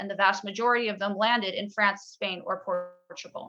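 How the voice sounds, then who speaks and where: With an American accent, a woman uses a normal speaking voice at a fairly high pitch, talking at a fairly quick pace with fairly even intonation. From United States. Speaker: podcast guest, emigrant. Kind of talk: casual chat.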